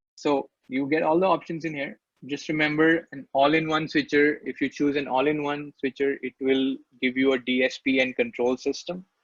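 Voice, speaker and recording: A man's fairly high voice, a normal speaking voice, at a moderate pace with fairly even intonation and a dry, close sound with no echo. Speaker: software product trainer. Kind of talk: webinar tutorial. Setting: online webinar.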